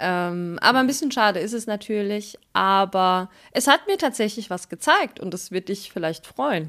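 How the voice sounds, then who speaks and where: In a very clean recording with a silent background, a woman with a plain, everyday voice speaks at a moderate pace and medium pitch, using lively intonation and hardly any pauses. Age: 30s. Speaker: podcast co-host. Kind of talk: casual chat.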